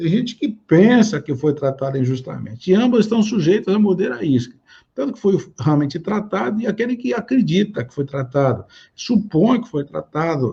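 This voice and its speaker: A man talks in a high voice. His pitch swings very widely. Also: moderate pace. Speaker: pastor. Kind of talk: sermon.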